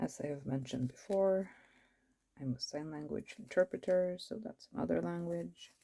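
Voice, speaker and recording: With a Norwegian accent, a woman speaks at a very deep, low pitch in a dark, mellow tone. Her pitch swings very widely at a moderate pace. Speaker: planner vlogger. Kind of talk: casual chat. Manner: casual, rambling with fillers.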